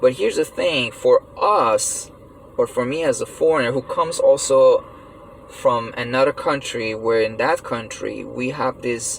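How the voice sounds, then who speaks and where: Noticeable background noise beneath a man talking fairly slowly. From Iran. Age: 30s. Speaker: vlogger. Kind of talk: personal monologue rant. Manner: halting, many fillers; animated.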